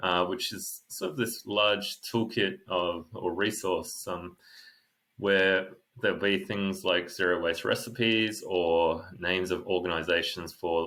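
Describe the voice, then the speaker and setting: In a very clean recording with a silent background, a man with an Australian accent and a very deep, low pitch speaks in a bright, sharp tone at a fairly slow pace. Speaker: co-author of a book. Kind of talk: interview. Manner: halting, many fillers.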